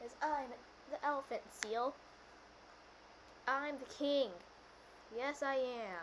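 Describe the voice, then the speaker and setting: A put-on character voice that sounds female, pitched high, comes with long, frequent pauses and clear background noise. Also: fairly slow pace. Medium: role play. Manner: grandiose, boastful.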